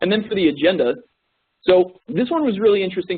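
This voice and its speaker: This man speaks very fast. His pitch swings very widely. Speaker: corporate trainer. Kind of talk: training presentation. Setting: web conference recording.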